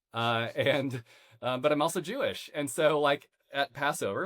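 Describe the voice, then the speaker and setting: A man in a Midwestern American accent speaks at a fairly slow pace. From US Midwest, Missouri countryside. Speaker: podcast host. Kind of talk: interview conversation. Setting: home office.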